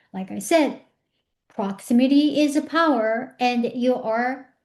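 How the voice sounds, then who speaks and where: A woman's high-pitched voice in a Japanese accent, lively in intonation, over a quiet background. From Japan, Tokyo. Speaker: personal growth speaker. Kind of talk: motivational talk. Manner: conversational, with hesitations.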